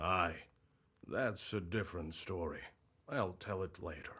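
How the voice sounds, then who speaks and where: A man's put-on, raspy character voice at a very deep, low pitch and a fairly slow pace. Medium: video game.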